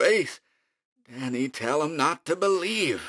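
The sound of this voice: Putting on a shrill character voice, a man speaks with lively intonation.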